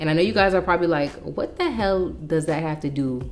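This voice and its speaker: Amid audible room echo, a woman speaks at a moderate pace in a fairly low pitch with ordinary pitch variation. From New York City. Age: 30s. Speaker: lifestyle vlogger. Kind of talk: casual chat.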